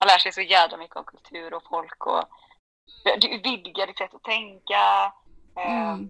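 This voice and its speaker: Speaking at a fairly slow pace with long, frequent pauses, a woman shows big swings in loudness in a dry, close sound with no echo. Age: 30s. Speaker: podcast guest sharing depression story. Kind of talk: casual chat. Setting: remote recording. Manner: animated. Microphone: poor sound at times.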